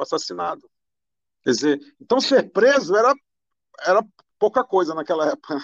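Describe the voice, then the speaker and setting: Lively in intonation, a man talks at a very fast pace and a high pitch for a man. The sound is dry and close, with no echo. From Brazil, Amazonas (Manaus). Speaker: judge. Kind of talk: interview. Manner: halting, repeats words.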